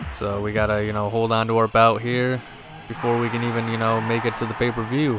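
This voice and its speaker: Speaking at a fairly quick pace over noticeable background noise, a man holds a medium pitch in a monotone, flat intonation. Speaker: gaming let's play commentator. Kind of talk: video game commentary.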